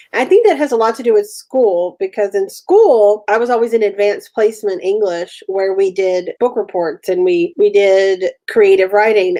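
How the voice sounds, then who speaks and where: A dark, mellow voice with an American accent, ordinary pitch variation and hardly any pauses. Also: woman, fairly high pitch for a woman, moderate pace. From Texas. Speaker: writer, co-host of writing chat show. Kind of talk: casual chat.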